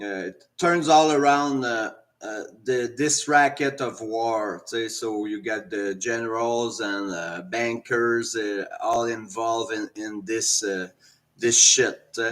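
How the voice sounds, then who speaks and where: A man talks at a very slow pace in a Quebec accent, his pitch medium with ordinary variation. His loudness swings widely. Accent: French Canadian accent in English. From French Canada. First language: French. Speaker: commentator sharing opinions. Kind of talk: personal opinion monologue. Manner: halting, many fillers.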